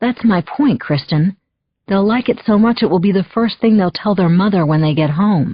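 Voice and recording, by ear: The background stays quiet. A voice reads aloud naturally.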